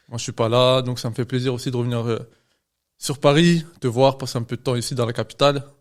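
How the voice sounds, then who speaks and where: A man of medium pitch at a fairly quick pace, with fairly even intonation, in a very clean recording with a silent background. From France, Lyon. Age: 20s. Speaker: medical student and trader. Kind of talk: podcast interview. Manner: hesitant, many fillers.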